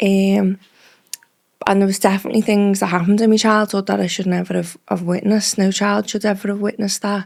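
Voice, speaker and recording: A woman speaks very fast with a Liverpool accent. Her intonation is monotone and flat. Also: medium pitch for a woman. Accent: Liverpool (Scouse). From Liverpool, England (Speke). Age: 30s. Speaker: drugs advisor, former addict. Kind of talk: personal testimony interview.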